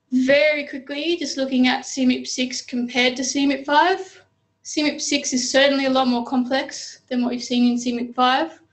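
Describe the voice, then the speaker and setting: Over a quiet background, a woman speaks in an Australian accent. Her pitch is high and her intonation fairly even. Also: moderate pace. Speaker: data specialist. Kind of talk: presentation. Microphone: video call.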